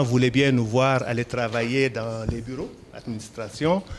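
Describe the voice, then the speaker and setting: A man speaks fairly slowly, his medium pitch showing ordinary variation. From Senegal, Dakar. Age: 60s. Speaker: entrepreneur, poultry farmer. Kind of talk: interview. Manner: hesitant fillers (euh).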